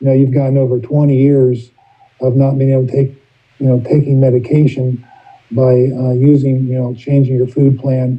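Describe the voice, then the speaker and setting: Somewhat breathy and medium in pitch, a man speaks with monotone, flat intonation. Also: moderate pace. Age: 60s. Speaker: recovery meeting speaker. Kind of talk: testimony. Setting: video call. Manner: halting.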